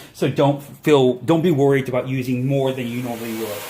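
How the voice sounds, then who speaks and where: Moderate-paced male speech over noticeable background noise. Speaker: hairstylist. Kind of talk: tutorial. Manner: animated.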